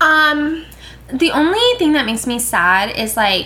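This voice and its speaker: A woman speaks at a very slow pace with lively intonation. There is noticeable background noise. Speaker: podcast co-host. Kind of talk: casual chat. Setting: sitting on a bed with roommate present.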